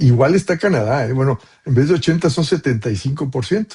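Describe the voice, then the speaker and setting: The voice is somewhat breathy with a dark, mellow tone and lively intonation, recorded dry and close with no echo. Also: man. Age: 70s. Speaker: professor. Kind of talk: Q&A answer to doctoral students. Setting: video call. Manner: casual, with many fillers.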